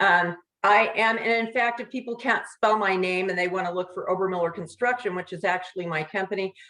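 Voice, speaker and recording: Delivered in an ordinary speaking voice, the speech moves at a moderate pace with ordinary pitch variation. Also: woman. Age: 60s. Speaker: construction business owner and author. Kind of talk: casual interview.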